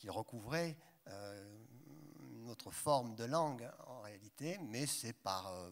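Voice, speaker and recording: At a fairly slow pace, a man talks at medium pitch. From southern France, Haute-Provence. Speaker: translator. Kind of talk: panel discussion. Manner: halting.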